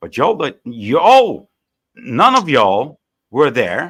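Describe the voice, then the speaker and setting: A fairly high-pitched man speaks with vocal fry and very wide pitch swings. The recording is very clean, with a silent background. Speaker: panel participant in online debate. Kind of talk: heated debate.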